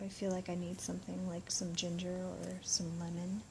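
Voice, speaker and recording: A woman speaks quietly. Her pace is moderate. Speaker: vlogger sharing daily diet. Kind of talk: casual vlog narration. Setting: library. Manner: casual, conversational.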